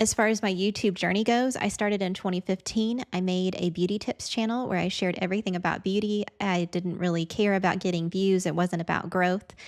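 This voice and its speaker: A woman speaks with an American accent at medium pitch and a fairly quick pace. Her intonation is fairly even and her loudness very even. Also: hardly any pauses. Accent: Southern with a little Midwest. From US Midwest, Indiana. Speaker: video editing teacher and content creator. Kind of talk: podcast introduction monologue.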